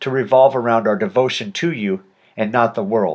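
Against a quiet background, a man in an ordinary speaking voice talks at a moderate pace and medium pitch with lively intonation. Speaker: audiobook narrator. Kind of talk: audiobook narration with a spoken prayer.

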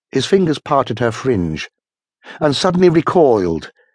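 Against a quiet background, a man at medium pitch talks at a moderate pace with very wide pitch swings, the sound dry and close with no echo. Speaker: audiobook narrator. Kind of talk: dramatic audiobook narration of horror/sci-fi fiction. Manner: suspenseful, vivid, building tension with changes of pace.

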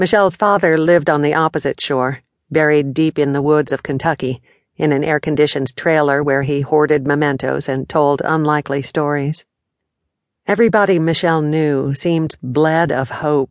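Very deep, low female voice, fairly even in intonation, at a moderate pace, dry and close with no echo against a quiet background. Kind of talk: audiobook narration. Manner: steady, measured storytelling pace; warm, expressive, descriptive narration.

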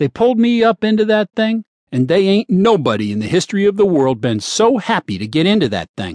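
A man with a high pitch speaks at a fairly quick pace, his pitch swinging very widely. The recording is dry and close, with no echo. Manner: plainspoken, emphatic, earnest; rhetorical, storytelling.

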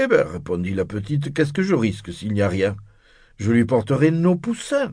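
In a somewhat breathy, fairly high voice, a man speaks at a fairly slow pace with very wide pitch swings. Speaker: audiobook narrator. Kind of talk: bedtime story, scripted narration read aloud. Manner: slow, soothing, hushed storytelling pace; gently expressive, voicing characters with shifts in tone.

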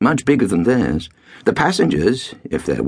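An unforced reading voice is what the listener hears.

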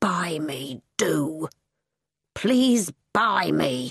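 A quiet, put-on character voice at a middle pitch. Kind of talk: plain common English, no squeak or whine. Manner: quiet, pleading.

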